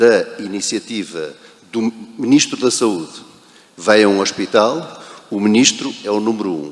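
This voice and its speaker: A man with a Portuguese accent talks at a fairly slow pace, pitched fairly low with ordinary variation. Long pauses come often, and background noise is noticeable. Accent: European Portuguese. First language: Portuguese (speaking Spanish). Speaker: protocol professional, panelist. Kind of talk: panel discussion.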